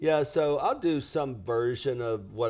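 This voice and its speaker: Recorded very cleanly against a silent background, a man speaks at a very slow pace. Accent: Southern US. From US South, lower Alabama. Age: 60s. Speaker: business coach. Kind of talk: podcast interview.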